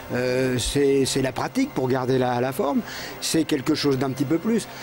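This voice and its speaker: Music plays in the background as a man talks at a moderate pace. His pitch is fairly high, with ordinary variation. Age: 60s. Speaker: amateur martial arts practitioner. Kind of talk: TV interview. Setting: TV studio. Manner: halting, repetitive.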